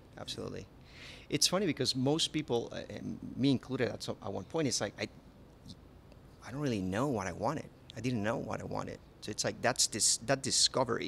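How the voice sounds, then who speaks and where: A man at medium pitch with vocal fry, lively intonation, and long, frequent pauses. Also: fairly quick pace. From Panama. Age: 30s. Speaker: chef. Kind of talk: interview. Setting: on location at a resort restaurant. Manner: halting, with many repetitions.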